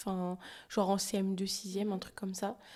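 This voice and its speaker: A woman's medium-pitched voice comes through flat and monotone on a very clean recording with a silent background. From France. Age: 20s. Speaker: photographer and videographer. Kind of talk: casual chat.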